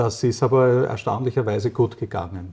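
A man's voice with a dark, mellow tone and a somewhat breathy quality. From Austria, rural. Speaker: physicist and company director. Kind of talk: interview. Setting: doctor's practice. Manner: halting.

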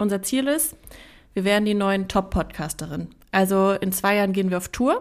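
A woman's normal speaking voice at a medium pitch, fairly quick in pace, with ordinary pitch variation. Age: 20s. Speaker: podcast co-host. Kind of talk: casual chat. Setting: video call.

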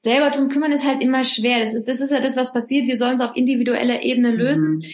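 Lively intonation in a woman's high voice. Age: 40s. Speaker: author. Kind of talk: interview. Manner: hesitant with fillers.

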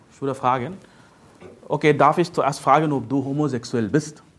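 Moderate pacing from a man with a fairly high-pitched voice. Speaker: preacher. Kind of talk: sermon. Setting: church. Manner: emphatic preaching, repeated "Ja?" tags, teaching tone; direct, urgent, addresses listeners as "du".

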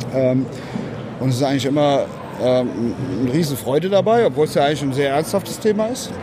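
Amid noticeable background noise, a man speaks very fast with lively intonation and a fairly high pitch. He leaves long, frequent pauses. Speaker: prosthetics company representative. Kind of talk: interview. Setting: trade fair stand.

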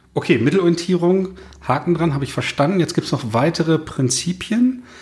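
At a moderate pace, a man talks with lively intonation in an ordinary speaking voice. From northern Germany. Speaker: podcast host, consultant. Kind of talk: casual interview conversation. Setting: in person in Cologne.

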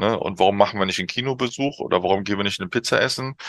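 Recorded with a dry, close sound with no echo, the voice shows ordinary pitch variation. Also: man. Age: middle-aged. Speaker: youth football coach. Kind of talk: interview. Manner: halting, many fillers.

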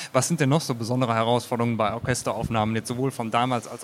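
This man's speech is very fast. He keeps a medium pitch and fairly even intonation. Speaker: podcast host. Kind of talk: casual chat. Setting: stage with audience.

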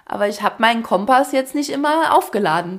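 Animated in tone, a woman with a fairly high pitch talks at a moderate pace with lively intonation and vocal fry. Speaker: podcast host, former dance teacher. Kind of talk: casual chat.

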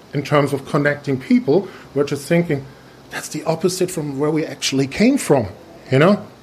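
Over noticeable background noise, a man speaks at a moderate pace in a fairly high voice with lively intonation. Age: 40s. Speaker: podcast host, innovation consultant. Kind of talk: interview. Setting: conference in Germany. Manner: halting, many fillers.

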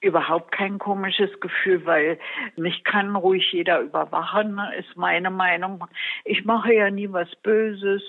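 A woman at a medium pitch, monotone and flat in intonation, at a fairly slow pace. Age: 80s+. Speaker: elderly project participant. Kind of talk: interview.

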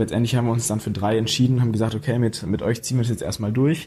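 This man talks at a very fast pace in a medium-pitched, somewhat breathy voice. His tone is dark and mellow, with fairly even intonation. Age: young. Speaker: young startup founder. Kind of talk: interview.

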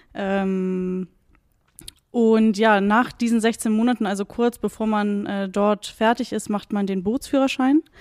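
The speech comes at a fairly slow pace with fairly even intonation. The recording is very clean and silent in the background, with a dry, close sound and no echo. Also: woman. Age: 30s. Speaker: water police officer. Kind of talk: interview. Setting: police station. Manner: hesitant with fillers.

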